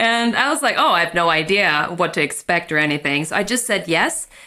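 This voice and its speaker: In a Swedish accent, a woman talks at a moderate pace with a bright, sharp tone and ordinary pitch variation. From Sweden. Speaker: magician. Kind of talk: interview.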